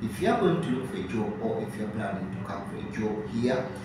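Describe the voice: A man talks at a fairly quick pace. Audible room echo and clear background noise surround him.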